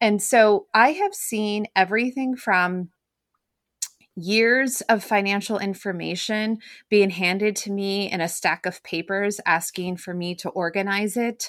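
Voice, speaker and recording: Over a silent background in a very clean recording, a woman speaks in an unremarkable speaking voice at a medium pitch, fairly slowly, with fairly even intonation. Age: 40s. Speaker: bookkeeper and money coach. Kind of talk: interview.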